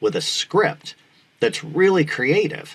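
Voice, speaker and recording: Using vocal fry, a man with an American accent talks at a moderate pace. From Needham, Massachusetts. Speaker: actor and former radio DJ. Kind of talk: interview answer. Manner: enthusiastic.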